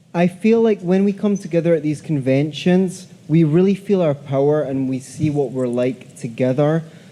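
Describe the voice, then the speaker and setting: Speaking with a Scottish accent at a moderate pace and with hardly any pauses, a man has a fairly high pitch and a dark, mellow tone. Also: ordinary pitch variation. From Scotland. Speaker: audience member asking a question. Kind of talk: audience question. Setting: convention hall with audience.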